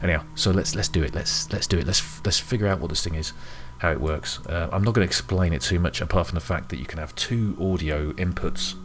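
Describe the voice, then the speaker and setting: Over noticeable background noise, a quiet voice speaks at a very fast pace with lively intonation. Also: man, very deep, low pitch for a man. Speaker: music hobbyist YouTuber. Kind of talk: tutorial. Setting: home room at night. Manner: halting.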